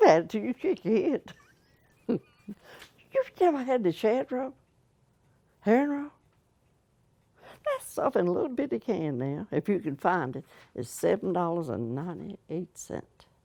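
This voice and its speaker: A woman speaks in a dark, mellow tone with vocal fry and very wide pitch swings. Her long, frequent pauses sit in a dry, close sound with no echo. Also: medium pitch for a woman, fairly slow pace. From Virginia, New Kent County. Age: 80s+. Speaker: oral history interviewee. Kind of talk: casual chat.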